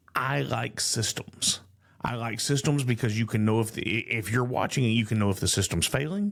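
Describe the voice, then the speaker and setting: A man talks with a Texan accent. His pitch varies in an ordinary way. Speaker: podcast host. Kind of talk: interview question.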